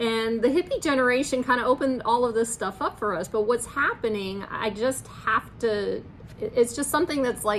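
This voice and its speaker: Moderate pace over noticeable background noise. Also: woman, fairly high pitch for a woman, ordinary pitch variation. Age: 60s. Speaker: spiritual vlogger. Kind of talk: unscripted monologue. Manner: halting.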